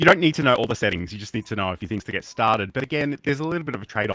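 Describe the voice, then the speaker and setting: The speaker talks at a very fast pace in an Australian accent, with lively intonation and a bright, sharp tone. The sound is dry and close with no echo, in a very clean recording with a silent background. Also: man. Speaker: livestreaming educator and show co-host. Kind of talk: casual tech talk show chat. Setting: live stream in browser studio. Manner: hesitant, many fillers.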